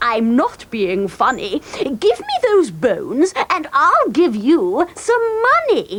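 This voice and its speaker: A cartoonish character voice, high in pitch, with very wide pitch swings. It moves at a fairly slow pace. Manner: brisk, businesslike.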